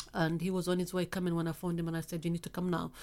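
A woman's very fast speech in a Somali accent, fairly low in pitch, with monotone, flat intonation. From Somalia. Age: 50s. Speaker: FGM campaigner. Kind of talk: interview testimony. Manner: blunt.

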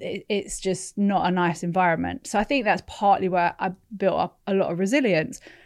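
With a London accent, a woman speaks at a medium pitch and a moderate pace. Her pitch varies an ordinary amount over a quiet background. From London, England (born in California, moved at eleven). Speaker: entrepreneur. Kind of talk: casual chat.

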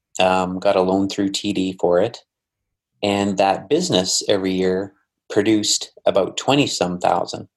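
An unremarkable speaking voice with a Canadian accent moves at a moderate pace with fairly even intonation. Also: man, fairly low pitch for a man. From Alberta, Canada. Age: 40s. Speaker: investor and business owner. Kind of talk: casual interview. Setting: call.

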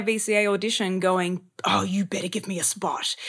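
A woman with an Australian accent, bright and sharp in tone, on a very clean recording with a silent background. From Australia, Sydney. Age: 30s. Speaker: actor and acting coach. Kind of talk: casual chat. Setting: podcast interview.

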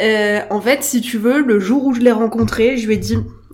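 A woman talks over noticeable background noise. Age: 20s. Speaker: mother with Instagram account. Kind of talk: casual interview. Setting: coworking space recording.

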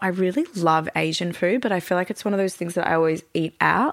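A woman talks very fast with an Australian accent, leaving hardly any pauses. Her pitch sits in the medium range. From Melbourne, Australia. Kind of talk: casual interview chat.

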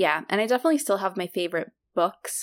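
One woman talks at a moderate pace in a dry, close sound with no echo. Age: 20s. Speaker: podcast host, surgery resident. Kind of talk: casual chat.

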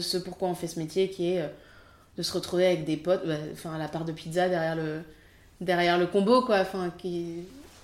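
A woman talks with a fairly low pitch. Her intonation is flat and monotone. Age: 30s. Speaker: film assistant director. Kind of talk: interview.

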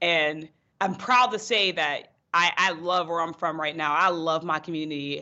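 Speaking in a normal speaking voice with an American accent, a woman talks at a moderate pace with fairly low pitch and ordinary pitch variation. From western Pennsylvania, North Braddock near Pittsburgh. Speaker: political candidate. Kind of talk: interview.

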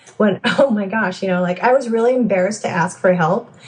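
Speaking with an American accent, a woman holds a medium pitch. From California. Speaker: software developer and mother. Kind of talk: interview conversation.

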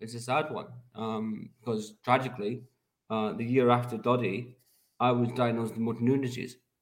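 At a moderate pace, a man with a Scottish accent speaks at medium pitch. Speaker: charity fundraiser. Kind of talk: casual chat. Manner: halting.

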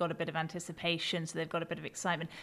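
The recording of a woman with a British accent is very clean, with a silent background. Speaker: podcast co-host. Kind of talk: casual chat.

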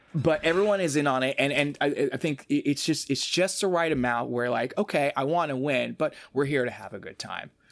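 Here a man talks at a fairly quick pace in an American accent, with a fairly high pitch and ordinary pitch variation. The recording is very clean, and the background is silent. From Boston, US. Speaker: game show challenge producer. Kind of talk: casual podcast chat. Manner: halting, many fillers and repetitions.

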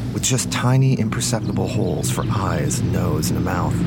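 A man's dramatic tone at a moderate pace, with music in the background. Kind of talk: dramatic narration of a supernatural mystery story. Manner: dramatic, atmospheric storyteller.

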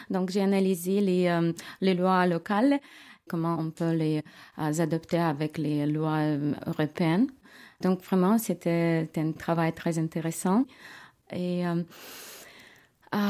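A woman with a dark, mellow tone and a fairly low pitch speaks at a very slow pace, with long, frequent pauses. The recording is very clean, with a silent background. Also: ordinary pitch variation. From Ukraine, Kyiv. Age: 40s. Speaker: refugee, lawyer. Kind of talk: testimony. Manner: halting, with hesitations.

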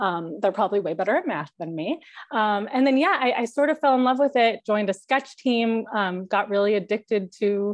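At a fairly quick pace, a woman with an American accent speaks in a normal speaking voice, her fairly high pitch carried by lively intonation. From Chicago suburbs, US Midwest. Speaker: TV comedy writer. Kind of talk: class Q&A. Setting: video call.

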